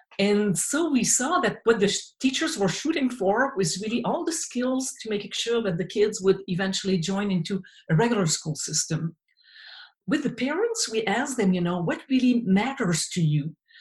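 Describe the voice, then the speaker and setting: Somewhat breathy female voice at a fairly high pitch, moderate pace, very wide pitch swings. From Quebec, small town. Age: 60s. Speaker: occupational therapist and researcher. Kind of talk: interview conversation.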